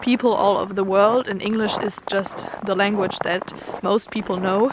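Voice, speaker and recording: Speaking with a German accent at a moderate pace, a woman keeps a monotone, flat intonation over noticeable background noise. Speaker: vlogger. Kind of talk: casual vlog talk to camera. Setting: outdoors in the snow.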